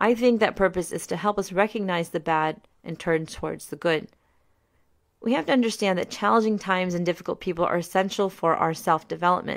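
A woman speaks at a fairly quick pace with a Mid-Atlantic accent. The recording is very clean, with a silent background. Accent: American, Mid-Atlantic. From US, Maryland. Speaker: podcast host. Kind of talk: scripted narration.

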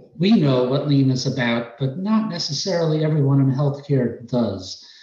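A man with a New York accent speaks at a fairly high pitch with lively intonation over noticeable background noise. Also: moderate pace. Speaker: healthcare process improvement director.

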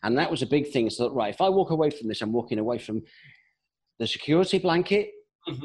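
This is a man speaking. He has a British accent. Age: 40s. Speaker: sales coach. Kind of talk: interview.

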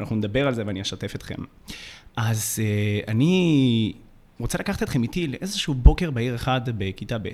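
A man with a medium pitch talks at a fairly quick pace with lively intonation and long, frequent pauses, on a very clean recording with a silent background. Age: 20s. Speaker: youth mentor and podcast co-host. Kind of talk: personal storytelling.

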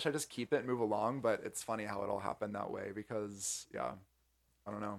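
Speaking very fast with an American accent, a man keeps a fairly low pitch and fairly even intonation in a very clean recording with a silent background. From US Southeast, North Carolina. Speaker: entrepreneur. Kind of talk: casual interview chat.

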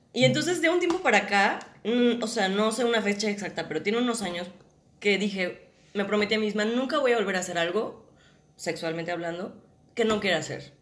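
Lively intonation marks a woman's medium-pitched voice, fairly quick in pace, with audible room echo. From Mexico, Guadalajara. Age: 20s. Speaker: actress. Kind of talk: casual chat.

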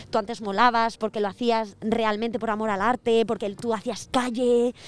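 Her pitch runs fairly high for a woman. She delivers everything in a monotone, with flat intonation. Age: 20s. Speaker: guest co-presenter. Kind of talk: casual chat.

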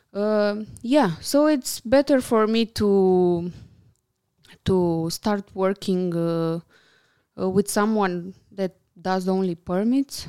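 A woman with a Romanian accent speaks at a very slow pace with long, frequent pauses, in a dry, close sound with no echo. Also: medium pitch for a woman, ordinary pitch variation. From Romania, Bucharest. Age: 30s. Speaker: architect and interior designer. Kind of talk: casual interview chat. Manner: hesitant, many fillers.

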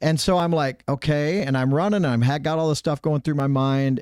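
An animated man talks in a fairly high voice with an American accent. The recording is very clean and dry, close with no echo, over a silent background. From Minnesota. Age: 60s. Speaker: politician. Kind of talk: political interview.

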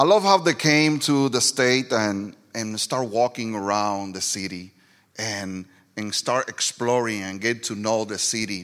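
In a strong Puerto Rican accent, a man speaks at a fairly slow pace. His pitch is medium and varies in an ordinary way. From Puerto Rico. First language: Spanish. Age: 40s. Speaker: pastor. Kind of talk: sermon. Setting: church with live audience.

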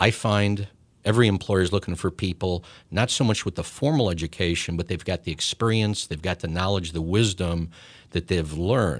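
Moderate pace and ordinary pitch variation on a very clean recording with a silent background. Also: man, very deep, low pitch for a man. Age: 50s. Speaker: podcast host, business consultant. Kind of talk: interview. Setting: studio.

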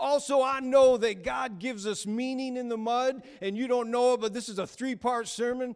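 The voice has a warm, animated tone and moves at a moderate pace. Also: man. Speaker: preacher. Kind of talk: sermon; preacher in full flow, call-and-response sermon with crowd. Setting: church with congregation. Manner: animated, exhortative, pulpit-style delivery; warm, humorous, direct to congregation.

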